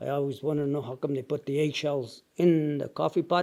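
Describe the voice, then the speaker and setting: A man's fairly high voice, dark and mellow in tone, with monotone, flat intonation. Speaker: retired coal miner. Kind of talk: oral history interview. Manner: halting.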